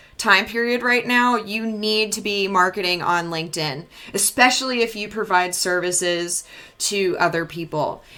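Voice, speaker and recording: A woman with an American accent, animated in tone, at a medium pitch and moderate pace, with ordinary pitch variation and noticeable background noise. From New York, Long Island. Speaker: marketing agency founder. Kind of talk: webinar presentation. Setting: live stream. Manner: casual, animated.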